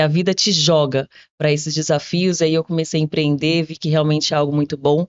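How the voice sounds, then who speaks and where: Talking at a fairly quick pace, a woman with a fairly low pitch keeps a monotone, flat intonation. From São Paulo, Brazil (from age six; born in Minas Gerais). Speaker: entrepreneur. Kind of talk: podcast interview.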